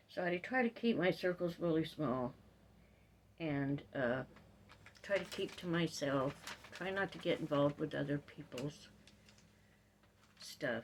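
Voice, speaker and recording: A woman with a very deep, low pitch and lively intonation speaks at a fairly slow pace, with long, frequent pauses. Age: 60s. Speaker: video blogger. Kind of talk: personal vlog monologue. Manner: halting, with fillers.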